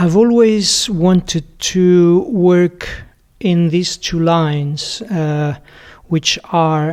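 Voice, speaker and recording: The speaker has a Portuguese accent and a very slow pace. Pitch varies in an ordinary way. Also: man. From Portugal. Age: 60s. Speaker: sound artist. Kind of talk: interview. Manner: halting, many fillers.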